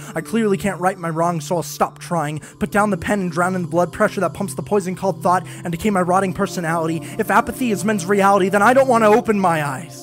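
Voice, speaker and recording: A man's high voice at a very fast pace, ordinary pitch variation, hardly any pauses, and music in the background. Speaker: spoken word poet. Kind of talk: spoken word poetry performance.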